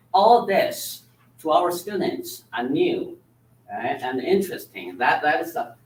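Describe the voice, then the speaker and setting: Fairly slow speech in a Chinese accent. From China. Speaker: Chinese language teacher. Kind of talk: presentation to school board. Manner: repetitive tag 'all right?'.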